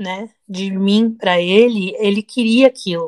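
At a very slow pace, the voice comes through dry and close with no echo. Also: woman. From Brazil, teen years in the US. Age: 30s. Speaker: podcast co-host. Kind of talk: casual chat.

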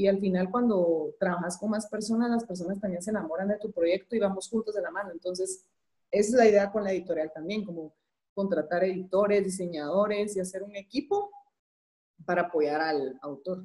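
A woman's normal speaking voice at medium pitch, fairly quick in pace, with ordinary pitch variation. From Guatemala. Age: 30s. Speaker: entrepreneur and graphic designer. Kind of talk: interview.

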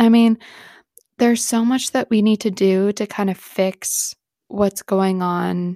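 Speaking fairly slowly, a woman has an unremarkable speaking voice, medium in pitch and with ordinary pitch variation. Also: dry, close sound with no echo, very clean recording, silent background. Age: 20s. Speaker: podcast host. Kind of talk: casual solo monologue.

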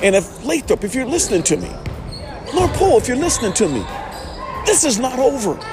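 Over noticeable background noise, a man with an extremely high pitch and very wide pitch swings talks in an animated tone at a very fast pace, broken by long, frequent pauses. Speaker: podcast host. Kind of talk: heated rant, fired-up shouted pep talk. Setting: at a high school gym, in person. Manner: loud, animated, defiant; friendly, enthusiastic.

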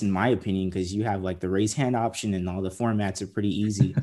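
Dark and mellow in tone, a man with an American accent speaks fairly quickly at a fairly low pitch with ordinary pitch variation, on a very clean recording with a silent background. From San Diego, California. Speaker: podcast host, TV story producer. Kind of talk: casual interview.

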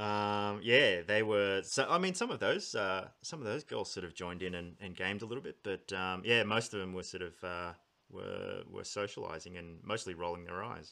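A man with an Australian accent, a fairly low pitch and a bright, sharp tone, at a moderate pace with ordinary pitch variation and hardly any pauses. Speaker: podcast host. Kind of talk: casual interview.

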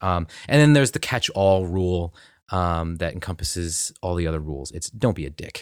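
A man with an American accent speaks at a moderate pace in a very deep, low pitch, with lively intonation and big swings in loudness. The recording is very clean with a silent background. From New Jersey. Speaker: interfaith discussion organizer. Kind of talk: casual interview chat. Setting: casual recording with beers. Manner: halting, many filler ums.

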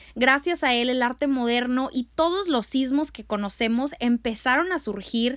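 Loud and animated, a woman speaks at a high pitch with hardly any pauses on a very clean recording with a silent background. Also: ordinary pitch variation, moderate pace. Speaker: art history podcaster and youtuber. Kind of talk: casual educational monologue.

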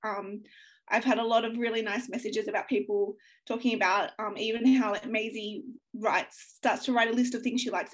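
Fairly high in pitch, a woman talks in an Australian accent. Her pace is fairly quick and her intonation fairly even. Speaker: young adult author. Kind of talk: interview.

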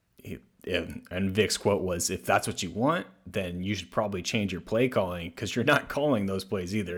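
An unremarkable speaking voice belongs to this man with an American accent, whose fairly low pitch shows ordinary variation at a moderate pace on a very clean recording with a silent background. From US South. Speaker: sports podcast host. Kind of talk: casual chat.

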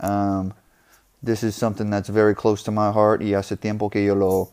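A man speaks in a fairly low pitch with a dark, mellow tone. His delivery is monotone and flat, with an English accent. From US South, New Orleans. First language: English (speaking Spanish). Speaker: podcast host. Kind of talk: casual monologue. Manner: halting, many repetitions.

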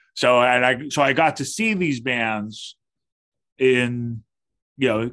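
Here a man with an American accent uses an ordinary speaking voice and ordinary pitch variation. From US West Coast, Berkeley, California. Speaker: guitarist. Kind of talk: casual chat.

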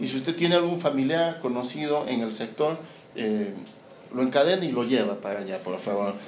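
Lively in intonation, a man speaks at medium pitch and a fairly quick pace. Noticeable background noise and audible room echo fill the recording. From Peru. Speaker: missionary pastor. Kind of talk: sermon. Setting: church service with congregation.

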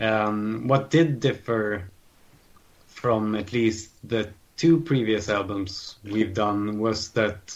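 A man with a Swedish accent talks at a very slow pace, at a medium pitch with ordinary pitch variation. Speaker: metal guitarist. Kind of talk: interview.

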